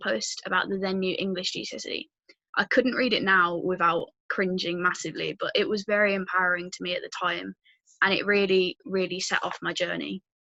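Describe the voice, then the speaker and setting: Speaking at a fairly quick pace, a woman has a medium pitch with ordinary variation and a bright, sharp tone, recorded with a dry, close sound with no echo. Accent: Birmingham. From English Midlands, Birmingham. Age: 19. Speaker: youth activist and university student. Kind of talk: prepared talk.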